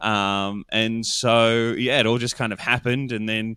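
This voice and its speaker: Recorded very cleanly over a silent background, a man speaks with a bright, sharp tone at a medium pitch. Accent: Australian. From Australia. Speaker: podcast producer. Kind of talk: interview. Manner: halting, many fillers.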